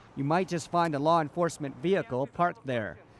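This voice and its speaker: It is an ordinary speaking voice. The pitch varies in an ordinary way. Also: man. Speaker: TV news reporter. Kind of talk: TV news report.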